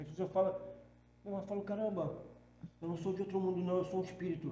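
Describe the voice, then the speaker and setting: Audible room echo surrounds a man with a high pitch speaking at a very fast pace. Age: 60s. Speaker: spiritual medium. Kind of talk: podcast interview. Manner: halting, with many false starts.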